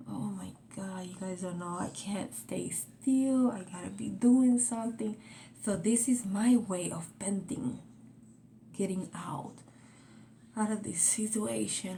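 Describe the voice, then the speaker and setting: A woman whispers at a fairly slow pace in a Spanish accent, with audible room echo around her. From Puerto Rico, moved to Florida at 13. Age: 40s. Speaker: vlogger. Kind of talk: casual vlog monologue. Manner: whispering.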